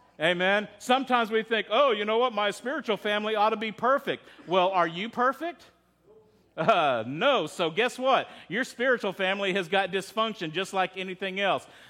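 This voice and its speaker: A man with a Texan accent, high pitch, ordinary pitch variation and a moderate pace. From Texas. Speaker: pastor. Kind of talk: sermon. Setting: church.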